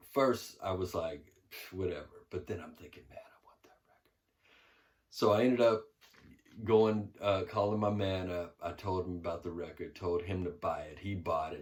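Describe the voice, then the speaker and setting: A man with a very deep, low pitch speaks at a moderate pace, somewhat breathy. His loudness swings widely, and the recording is very clean with a silent background. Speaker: record collector. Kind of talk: casual monologue. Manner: monotone.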